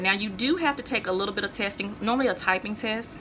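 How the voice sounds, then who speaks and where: Noticeable noise sits in the background. A woman talks over it with an American accent. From North Louisiana, US. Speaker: vlogger. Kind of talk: casual vlog advice. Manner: conversational, with fillers.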